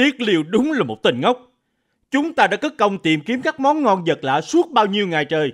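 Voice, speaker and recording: A man at a moderate pace with very wide pitch swings, in a very clean recording with a silent background and a dry, close sound with no echo. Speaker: voice actor playing characters. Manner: animated, theatrical, shifting into royal and princely character voices.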